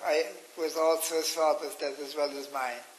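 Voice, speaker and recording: Over noticeable background noise, a man with an Irish accent speaks at a fairly high pitch. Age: 90s. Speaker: interviewee recounting memories. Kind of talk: interview. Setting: radio.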